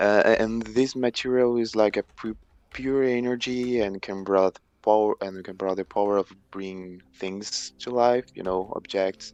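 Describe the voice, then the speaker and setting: A man with a Portuguese accent speaks at a fairly slow pace in a fairly low voice, keeping his intonation fairly even. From Brazil. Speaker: stream guest, amateur writer. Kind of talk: casual chat. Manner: halting, many repetitions and false starts.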